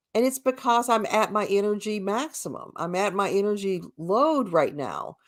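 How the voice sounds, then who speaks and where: A woman with an ordinary speaking voice, fairly high pitch, and ordinary pitch variation, on a very clean recording with a silent background. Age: 60s. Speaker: co-host and spiritual healer with a shop. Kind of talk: casual discussion. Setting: at home, on a live stream.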